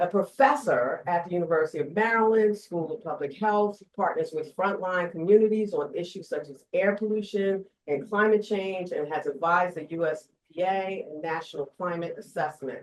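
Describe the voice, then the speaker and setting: A woman with a New Jersey accent at a medium pitch, fairly quick and with hardly any pauses, with ordinary pitch variation and big swings in loudness. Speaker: panel moderator. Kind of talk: reading speaker bios aloud; panel moderation.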